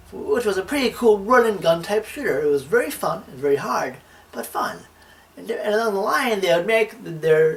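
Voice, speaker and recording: Noticeable background noise runs beneath words spoken at a moderate pace. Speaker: video game reviewer. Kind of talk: scripted narration. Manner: stutter.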